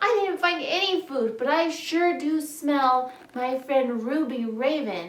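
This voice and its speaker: A woman puts on a character voice with a high pitch. She talks at a fairly slow pace. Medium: read story.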